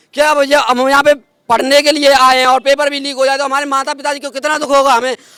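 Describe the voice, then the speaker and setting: A man's raised, projected voice, extremely high in pitch with a bright, sharp tone. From India, Mathura district, Uttar Pradesh. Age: 20s. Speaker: protesting exam aspirant. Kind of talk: street interview, emotional complaint. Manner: animated.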